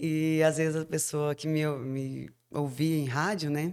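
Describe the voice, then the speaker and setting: A woman speaks in a very deep, low voice on a very clean recording with a silent background. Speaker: radio announcer. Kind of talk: casual chat.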